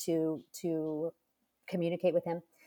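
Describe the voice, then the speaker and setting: A woman speaks at a fairly low pitch in an ordinary speaking voice. Her pace is moderate. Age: 50s. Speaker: author and mother of eight. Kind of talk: interview conversation.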